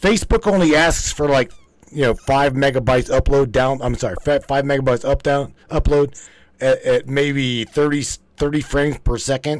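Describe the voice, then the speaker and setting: A man with an American accent has an ordinary speaking voice and a fairly high pitch. He talks at a moderate pace with very even loudness. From West Virginia. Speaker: live stream host. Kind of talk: casual chat.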